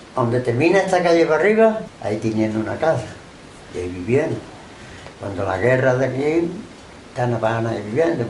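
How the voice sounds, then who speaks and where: There is noticeable background noise and audible room echo as a man talks at a medium pitch. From Andalusia, Málaga coast (Benalmádena). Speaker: oral history interviewee. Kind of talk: oral history interview.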